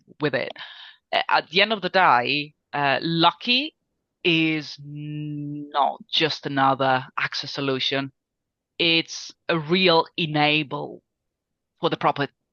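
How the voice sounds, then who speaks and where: A woman's very deep, low voice with an Italian accent, very slow pace, long and frequent pauses, ordinary pitch variation, and a dry, close sound with no echo. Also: quiet background. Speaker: business guest, sales manager. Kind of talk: business interview. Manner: hesitant with fillers.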